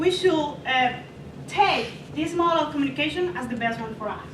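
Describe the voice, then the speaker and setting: An extremely high-pitched woman with a non-native accent, moderate pace, audible room echo. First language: not English. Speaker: student presenter. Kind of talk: class presentation. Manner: halting.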